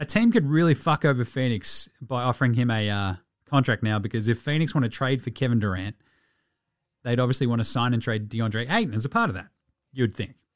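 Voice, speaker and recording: Speaking in an Australian accent, a man with a medium-pitched voice talks fairly quickly in an animated tone, his pitch varying in an ordinary way. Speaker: podcast host. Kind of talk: radio dj patter: chatty, jokey show-opening banter with ad reads. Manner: fast, animated, punchy and cheeky, rattling off slang and plugs.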